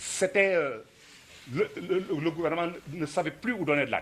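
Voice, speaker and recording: Here a man speaks at a fairly slow pace. His pitch is high and his intonation lively. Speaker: former student activist. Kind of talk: commemorative talk.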